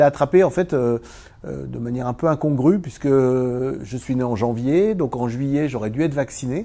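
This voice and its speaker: Speaking fairly slowly, a man with a medium pitch uses lively intonation. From eastern France (Vosges). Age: 60s. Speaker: former Paralympic table tennis champion and business owner. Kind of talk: interview. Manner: hesitant, many fillers.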